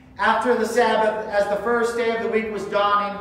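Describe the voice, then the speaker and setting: The speech goes at a moderate pace. Strong room echo surrounds it. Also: man. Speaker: church reader or pastor. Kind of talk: scripture reading. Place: church. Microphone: camera far.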